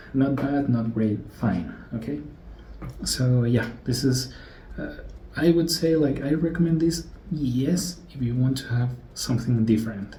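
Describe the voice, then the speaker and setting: In a Spanish accent, the speaker talks at a very slow pace with lively intonation and long, frequent pauses, and audible room echo surrounds the voice. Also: man. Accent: non-native English, Spanish-speaking. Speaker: gadget and audio reviewer. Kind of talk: casual product review. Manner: halting, many fillers.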